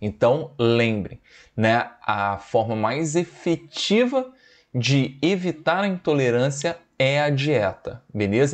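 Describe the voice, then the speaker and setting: A man's words come out very slowly. His intonation stays lively throughout. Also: quiet background. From Brazil, Espírito Santo (Vila Velha); Espírito Santo, Brazil. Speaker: biology teacher. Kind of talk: lecture. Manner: animated.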